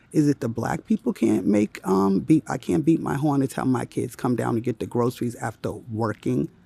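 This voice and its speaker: A man's whisper at a moderate pace, dry and close with no echo. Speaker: vlogger. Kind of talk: casual vlog. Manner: whispering.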